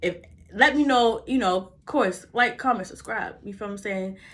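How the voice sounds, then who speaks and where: A woman's voice with a slight Baltimore accent and lively intonation. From US, Baltimore. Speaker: vlogger. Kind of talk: motivational vlog talk. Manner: fast; casual, halting.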